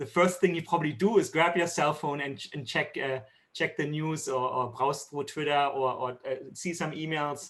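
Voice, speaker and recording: Fairly quick in pace, a man speaks with a German accent. His intonation is fairly even. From Germany. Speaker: tech company executive. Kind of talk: keynote interview. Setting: video call. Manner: hesitant, many fillers.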